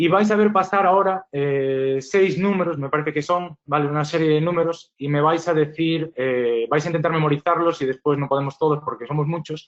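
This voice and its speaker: A man speaks at a fairly quick pace with a fairly high pitch. He has ordinary pitch variation and hardly any pauses. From Spain, Galicia (Santiago de Compostela). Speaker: acoustics engineer, webinar presenter. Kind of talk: webinar presentation. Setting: online webinar. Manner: hesitant, many fillers.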